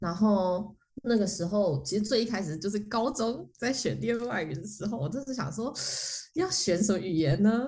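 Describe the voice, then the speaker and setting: A woman's medium-pitched, somewhat breathy voice with a dark, mellow tone, lively intonation and a moderate pace, in a room with audible echo. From Taiwan. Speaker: motion designer. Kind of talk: casual chat. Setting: remote call from France. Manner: animated. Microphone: poor cross-border recording quality.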